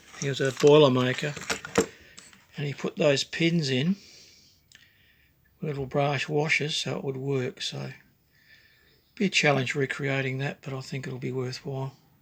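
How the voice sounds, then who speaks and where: With an Australian accent, a man with a fairly high pitch and a somewhat breathy voice talks at a moderate pace, his intonation fairly even and his pauses long and frequent. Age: 60s. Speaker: woodcarving hobbyist. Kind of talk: casual show-and-tell video. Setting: home workshop. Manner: halting, with fillers.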